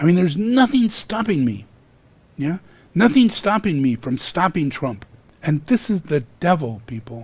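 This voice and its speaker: The man's voice is high-pitched. It moves in very wide pitch swings. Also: moderate pace. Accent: American. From US West Coast (California). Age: 70s. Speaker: spiritual teacher. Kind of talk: sermon. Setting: live stream. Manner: animated.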